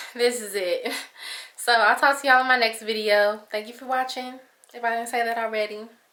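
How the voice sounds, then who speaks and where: A woman speaking at a fairly quick pace, fairly high-pitched, with a bright, sharp tone and flat, monotone intonation. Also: big swings in loudness. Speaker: lifestyle vlogger. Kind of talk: casual vlog talk to camera.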